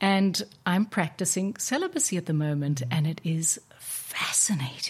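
Talking at a moderate pace with very even loudness, a woman with fairly low pitch and an unremarkable speaking voice uses lively intonation. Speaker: podcast host and wellness coach. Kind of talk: interview. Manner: warm, effusive.

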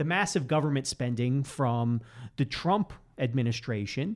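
Over a very clean, silent background, a man with an unremarkable speaking voice talks at a fairly high pitch and moderate pace, his intonation lively. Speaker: economics professor. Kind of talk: casual interview chat. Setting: studio.

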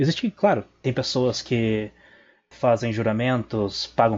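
The speech moves at a very slow pace, and the intonation is fairly even. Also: man. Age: 20s. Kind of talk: recorded voice message.

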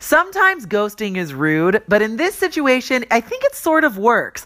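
A woman speaks in a raised, projected voice. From Los Angeles, US. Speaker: entertainment news host. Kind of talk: scripted comedic news segment. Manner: animated.

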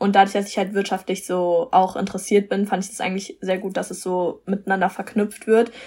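Speaking fairly quickly, a woman holds a medium pitch with monotone, flat intonation. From Germany, Frankfurt am Main. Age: young. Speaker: law student. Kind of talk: interview.

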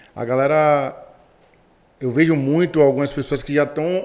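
The intonation stays fairly even. A man speaks with a fairly high pitch. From Brazil, Bahia. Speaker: podcast co-host, entrepreneur. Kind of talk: podcast interview. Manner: casual, slangy.

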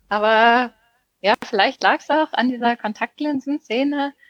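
A woman with a plain, everyday voice talks at a fairly slow pace with ordinary pitch variation, the sound dry and close with no echo. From southwestern Germany, near Freiburg. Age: 20s. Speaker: ultracycling racer. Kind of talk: casual chat.

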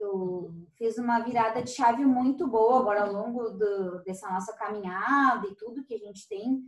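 A woman with a normal speaking voice, fairly high pitch, moderate pace, hardly any pauses and big swings in loudness. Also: ordinary pitch variation. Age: 30s. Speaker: business owner. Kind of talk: casual chat.

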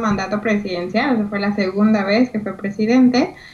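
Ordinary pitch variation from a female speaker, set against noticeable background noise. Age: 20s. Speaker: radio co-host. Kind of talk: casual chat.

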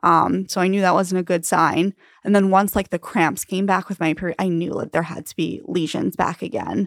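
A normal speaking voice from a woman with an American accent, fairly low in pitch, moderate in pace and fairly even in intonation, dry and close with no echo on a very clean recording with a silent background. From Long Island, New York. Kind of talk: casual interview.

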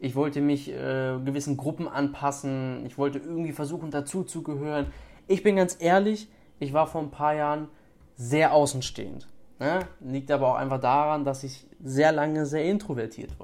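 Here is an ordinary speaking voice with fairly even intonation at a moderate pace. The recording is very clean, with a silent background. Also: man, fairly high pitch for a man. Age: 20s. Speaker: podcaster and fitness influencer. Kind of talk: solo podcast monologue. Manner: casual with many fillers.

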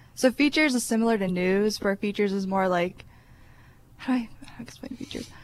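A woman with an American accent talks at a fairly quick pace in a normal speaking voice at medium pitch. Her loudness swings widely. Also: ordinary pitch variation. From Cleveland, Ohio. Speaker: student newspaper editor. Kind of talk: casual interview.

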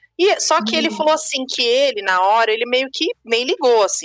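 A woman's unremarkable speaking voice with lively intonation and a fairly quick pace, in a dry, close sound with no echo. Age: 30s. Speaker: podcast host. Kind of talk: casual chat.

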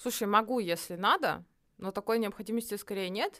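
In an animated tone, a woman speaks at a medium pitch and moderate pace with ordinary pitch variation. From Russia, Nizhny Novgorod. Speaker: psychologist. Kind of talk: casual chat.

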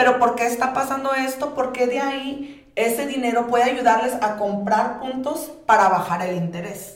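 Against noticeable background noise, a woman talks in a high voice at a moderate pace with ordinary pitch variation and hardly any pauses. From Sinaloa, Mexico. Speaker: real estate agent. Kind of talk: casual chat.

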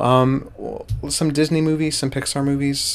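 A man with a fairly high voice speaks over noticeable background noise. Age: 20s. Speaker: podcast co-host, animation student. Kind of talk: casual chat.

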